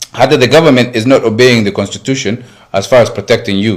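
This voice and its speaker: Here a man with an American accent speaks at a fairly quick pace in a medium pitch. His intonation is fairly even, and he has an unremarkable speaking voice. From Somali community in the US. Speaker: community activist. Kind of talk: interview. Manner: code-switching Somali and English.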